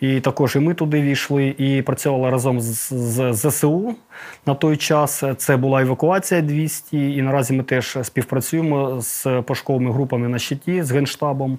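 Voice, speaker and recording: This man has an ordinary speaking voice, medium in pitch, with fairly even intonation, a moderate pace and very even loudness. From Donetsk region, Ukraine. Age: 30s. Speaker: volunteer search group leader recovering war dead. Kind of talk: interview testimony.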